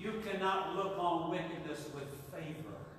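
Amid strong room echo and light background noise, a man speaks at a very slow pace and a high pitch. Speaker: preacher. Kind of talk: live Sunday sermon to a congregation. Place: church.

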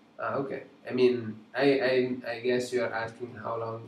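Noticeable background noise sits behind a man talking with an Italian accent. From Italy. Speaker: digital sculptor and art teacher. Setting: live stream from home studio.

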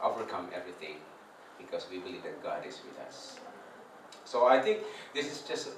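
A man's voice carries audible room echo, with light background noise behind it. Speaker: preacher. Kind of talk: sermon. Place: hall. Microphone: camera far.

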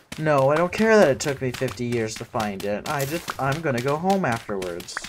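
A man's voice swings very widely in pitch. Noticeable background noise is present. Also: fairly quick pace. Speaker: gaming streamer. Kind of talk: casual chat. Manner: animated. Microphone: studio mic.

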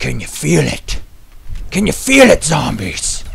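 A put-on character voice with a raspy quality. The pace is fairly slow. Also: man. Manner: hyped, bombastic, shouting.

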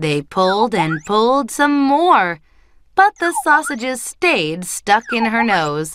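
Text read aloud in a plain way

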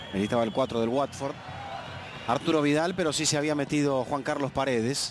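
A man talks at a fairly quick pace with a fairly high pitch and very even loudness. Noticeable background noise runs beneath him. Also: ordinary pitch variation. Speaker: football commentator. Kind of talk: live commentary.

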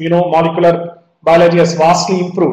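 There is audible room echo around a man talking at a high pitch. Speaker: medical lecturer. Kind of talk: lecture. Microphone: video call.

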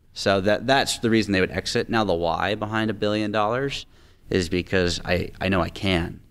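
A man with a fairly low voice talks at a moderate speed, his intonation fairly level. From Tacoma, Washington, US Pacific Northwest. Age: 20s. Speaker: real estate investor. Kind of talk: interview. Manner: fluent, confident. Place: studio. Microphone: studio mic.

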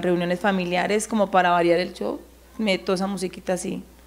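In a monotone, flat intonation, a woman talks at a fairly quick pace. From Colombia, Caldas. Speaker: singer. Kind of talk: interview. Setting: studio. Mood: relaxed, friendly. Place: empty room. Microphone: handheld.

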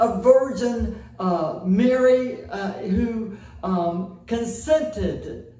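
There is audible room echo as a man speaks with lively intonation. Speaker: pastor. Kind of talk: prayer. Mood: warm, devout, grateful. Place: church.

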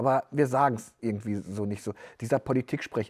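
A man talks fairly quickly with fairly even intonation, the background staying quiet. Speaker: newspaper editor-in-chief and podcast host; newspaper editor-in-chief, podcast host. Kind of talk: interview. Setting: newsroom studio. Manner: casual. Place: studio. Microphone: lapel.

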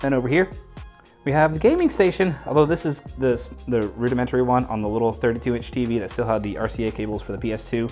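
Faint music sits in the background. Over it, a man speaks very fast. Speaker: room tour host. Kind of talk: casual vlog chat. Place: home room.

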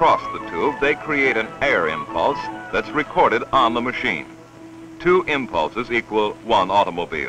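Delivered at a moderate pace, the voice sounds dry with no echo, and music is clearly heard in the background. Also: man. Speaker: documentary narrator. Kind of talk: documentary narration. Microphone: old recording.

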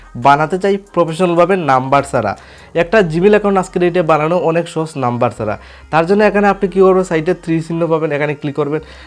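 A man is speaking. His pitch is high with ordinary variation. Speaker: tech tutorial YouTuber. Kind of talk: tutorial.

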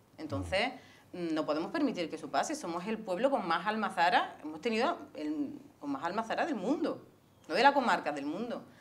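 A woman speaks at a fairly quick pace, her pitch swinging very widely. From Andalusia, Spain (Córdoba province). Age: 40s. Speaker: local political candidate. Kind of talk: interview. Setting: studio. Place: studio. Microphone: lapel.

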